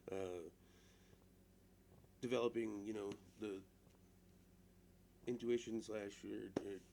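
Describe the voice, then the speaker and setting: A dark, mellow tone delivered with monotone, flat intonation. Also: man. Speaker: vlogger. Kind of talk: casual monologue to camera. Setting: alone in front of a camera. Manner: halting, full of restarts and fillers.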